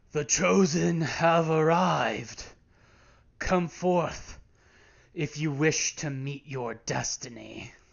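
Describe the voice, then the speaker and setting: A man's raspy, put-on character voice, fairly high in pitch with ordinary pitch variation, at a very slow pace with long, frequent pauses. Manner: solemn, mysterious.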